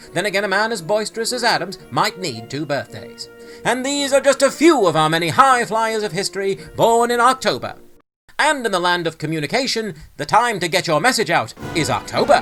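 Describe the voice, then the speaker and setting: A man's raised, projected voice, high in pitch with very wide pitch swings, fairly quick, over music in the background. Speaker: retro newsreel-style history narrator. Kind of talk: retro newsreel narration with humor. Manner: punchy, wry, punning delivery.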